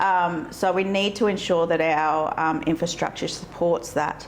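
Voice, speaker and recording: A woman with a rural Australian accent speaks at a fairly slow pace with ordinary pitch variation. Audible room echo surrounds her voice. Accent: country Australian. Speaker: local council candidate. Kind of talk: interview.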